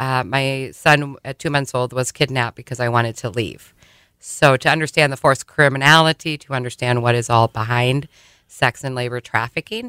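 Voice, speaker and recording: A woman with an Upper Midwest accent speaks at a very deep, low pitch and a moderate pace with fairly even intonation. The recording is very clean with a silent background and a dry, close sound with no echo. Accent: Upper Midwest American. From South Dakota, Sioux Falls. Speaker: trafficking survivor and program coordinator. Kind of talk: testimony. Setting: radio studio.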